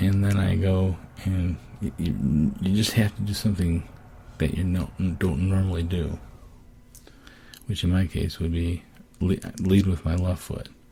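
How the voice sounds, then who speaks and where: A man speaks at a fairly slow pace, his voice very deep and low, with long, frequent pauses. His intonation stays fairly even over noticeable background noise. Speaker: person with Parkinson's disease. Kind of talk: casual podcast talk. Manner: hesitant, many fillers.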